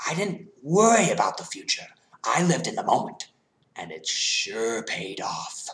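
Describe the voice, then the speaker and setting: A man whispers. He uses a put-on character voice. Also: moderate pace. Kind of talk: fan-film villain impression. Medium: short film. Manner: manipulative, mocking, persuasive.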